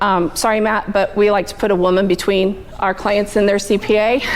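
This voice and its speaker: Against noticeable background noise, a woman speaks at a medium pitch and a fairly quick pace. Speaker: bookkeeper. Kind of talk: business networking presentation. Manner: fast.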